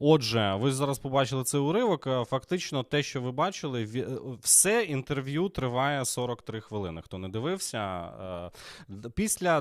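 A man at medium pitch, fairly slow, with very wide pitch swings, on a very clean recording with a silent background. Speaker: political podcast host, TV presenter. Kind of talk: live stream commentary. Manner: casual, relaxed.

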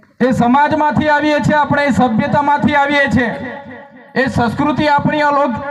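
An extremely high-pitched man's voice amid noticeable background noise and audible room echo. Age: 30s. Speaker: legislator. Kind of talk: political rally speech. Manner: animated.

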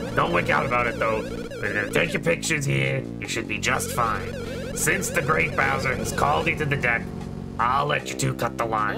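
Over loud music in the background, a man does a put-on character voice with a fairly low pitch at a moderate pace. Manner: easygoing, chatty.

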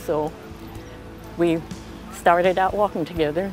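A woman with a fairly low voice speaks at a moderate pace. The sound is dry with no echo, and music is clearly audible behind her. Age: 80s+. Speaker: marathon runner. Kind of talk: interview answer. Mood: upbeat, determined. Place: garden. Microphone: lapel.

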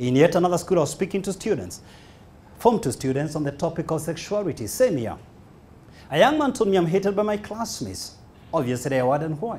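A man speaks very fast in a Kenyan accent with very wide pitch swings. Long, frequent pauses break up his speech. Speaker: motivational speaker. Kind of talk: motivational speech. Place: hall. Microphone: handheld.

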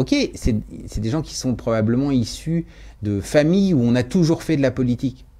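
A man speaks at a fairly slow pace in a dark, mellow tone with lively intonation. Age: 50s. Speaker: bookseller and business owner; bookseller. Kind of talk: radio interview. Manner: hesitant, with frequent fillers. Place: studio. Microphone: studio mic.

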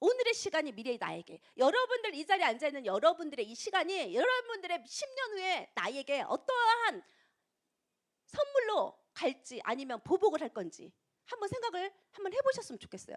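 A woman speaks at an extremely high pitch, her voice swinging very widely. Her tone is animated and her pace moderate. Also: big swings in loudness. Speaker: network marketing distributor. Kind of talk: motivational talk.

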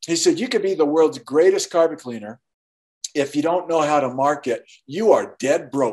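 Against a quiet background, a man talks at a moderate pace in a fairly high pitch. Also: lively intonation. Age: 60s. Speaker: artist and author; interview guest. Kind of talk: interview. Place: home room. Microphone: video call.

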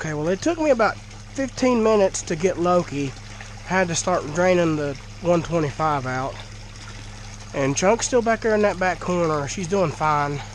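Someone with a Southern US accent speaks at a fairly slow pace amid noticeable background noise. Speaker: fish keeper and video creator. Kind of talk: casual video vlog. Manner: nervous, excited.

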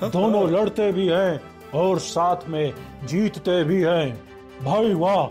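A cartoonish character voice speaks at a very slow pace while music plays clearly in the background. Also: man. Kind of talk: TV quiz host style. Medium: puppet show. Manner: dramatic, showy.

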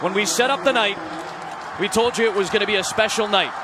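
Against noticeable background noise, a man uses a raised, projected voice at a high pitch. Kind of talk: live commentary.

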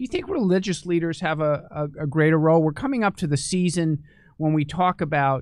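The man talks at a moderate pace with ordinary pitch variation. The sound is dry with no echo, and the background is quiet. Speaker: medical journal editor. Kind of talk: interview. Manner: halting. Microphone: studio mic.

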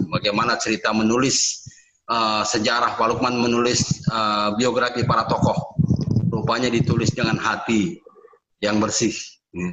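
A man talks with fairly even intonation. There is noticeable background noise. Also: medium pitch for a man, moderate pace. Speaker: discussion moderator. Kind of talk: moderated discussion. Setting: video call. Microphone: video call.

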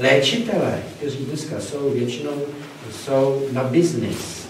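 Against light background noise and audible room echo, a man speaks at a fairly slow pace. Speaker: presenter. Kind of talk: lecture. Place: hall. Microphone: camera far.

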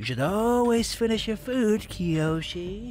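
In a put-on character voice pitched fairly high, the speaker goes at a fairly slow pace over clear background noise. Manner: smooth, persuasive, menacing.

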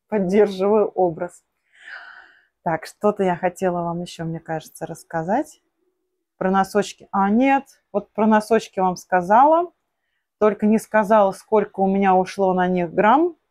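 On a very clean recording with a silent background and a dry, close sound with no echo, a woman at a medium pitch talks at a fairly slow pace with ordinary pitch variation and long, frequent pauses. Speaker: knitting vlogger. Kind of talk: casual vlog tutorial. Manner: chatty.

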